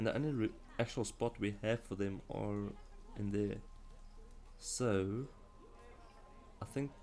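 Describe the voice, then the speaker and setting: A man with a South African accent, at a fairly slow pace with long, frequent pauses. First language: Afrikaans. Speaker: video game streamer. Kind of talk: live game stream commentary. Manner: halting.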